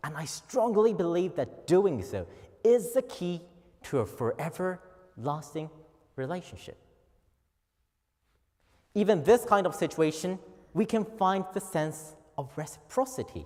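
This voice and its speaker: Speaking at a fairly slow pace with a Japanese accent, a man uses lively intonation and a high pitch, leaving long, frequent pauses. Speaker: office worker. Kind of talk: speech contest oration. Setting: auditorium.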